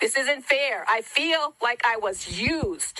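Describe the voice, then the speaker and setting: A raised, projected voice with a bright, sharp tone moves through ordinary pitch variation. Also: woman. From Hawaii. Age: 60s. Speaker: wildfire survivor. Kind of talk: public testimony.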